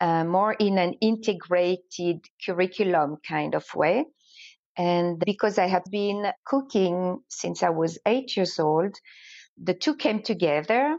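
A woman talks at medium pitch and a fairly slow pace. Her loudness stays very even, with ordinary pitch variation. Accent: French. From France, French Alps. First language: French. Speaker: entrepreneur and language teacher. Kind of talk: interview.

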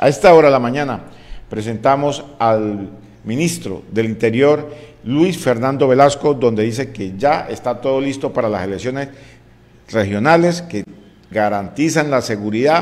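The man talks at a moderate pace with ordinary pitch variation. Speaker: news presenter. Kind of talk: news commentary. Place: studio. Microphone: studio mic.

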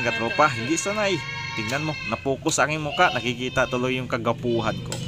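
Over clear background music, a man speaks at a fairly quick pace with ordinary pitch variation in a dry sound with no echo. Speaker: home cooking vlogger. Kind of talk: casual vlog chat. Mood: joking, playful. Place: home room. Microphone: phone near.

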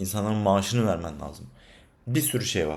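A man speaks at a very fast pace in an animated tone. His pitch is fairly low, with ordinary pitch variation. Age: 20s. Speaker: freelance data scientist and vlogger. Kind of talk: casual vlog monologue. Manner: animated, conversational.

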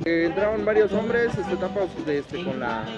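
Moderate pace over loud background music. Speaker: eyewitness. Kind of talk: street interview answer. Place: street.

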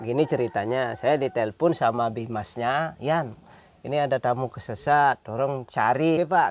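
Recorded with a dry sound and no echo, a normal speaking voice moves at a moderate pace with ordinary pitch variation. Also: man, medium pitch for a man. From Bali, Karangasem; Bali. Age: 40s. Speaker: farmer and village leader. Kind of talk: interview. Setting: outdoors. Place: open country.

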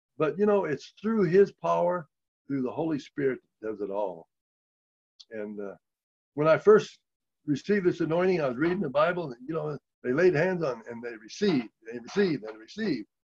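Against a quiet background, a man with an American accent talks at a fairly quick pace in a fairly high voice, using very wide pitch swings, big swings in loudness, and long, frequent pauses. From US Midwest. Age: 70s. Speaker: lay healing minister and former car salesman; lay healing minister, former car salesman. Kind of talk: testimony. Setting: video call. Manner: animated. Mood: enthusiastic, warm. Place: home room. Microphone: video call.

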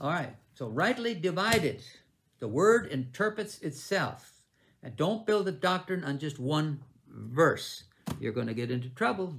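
The voice moves at a moderate pace with very wide pitch swings and vocal fry. Light background noise sits behind it. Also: man. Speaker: bible teacher. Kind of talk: sermon. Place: home room. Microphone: webcam.

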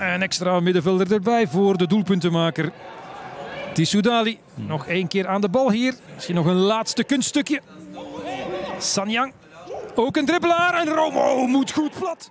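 Through noticeable background noise, a man with a high pitch talks at a fairly slow pace, using very wide pitch swings and long, frequent pauses. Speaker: football commentator. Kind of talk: live football match commentary.

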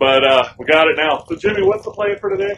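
A man talks against light background noise. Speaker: motovlogger host. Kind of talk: casual vlog chat. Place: open country. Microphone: phone near.

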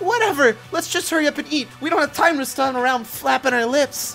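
Over clear music in the background, a woman uses a put-on character voice at a high pitch and a fairly quick pace. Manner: angry, barking.

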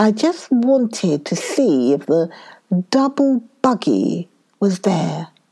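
Quiet background behind a natural reading voice

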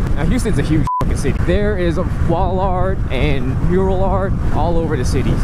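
With loud background noise around him, a man's voice comes through with a dry sound with no echo. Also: moderate pace. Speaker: motovlogger rider. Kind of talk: casual vlog chat. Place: motorbike. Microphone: helmet.

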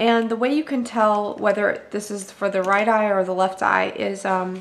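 A woman at a very slow pace, medium in pitch with fairly even intonation, amid audible room echo and noticeable background noise. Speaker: beauty vlogger. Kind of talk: tutorial. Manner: casual with many ums.

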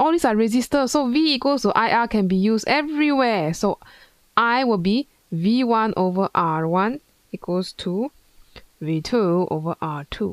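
Against a quiet background with a dry sound and no echo, a woman speaks fairly slowly at a fairly high pitch, her pitch swinging very widely while her loudness stays very even. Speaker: physics tutor. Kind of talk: tutorial. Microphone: headset.

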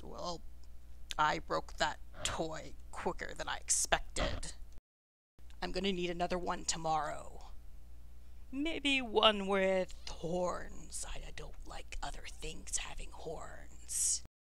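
A gruff, raspy put-on character voice at a very slow pace, with long, frequent pauses. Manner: gruff, laughing, callous.

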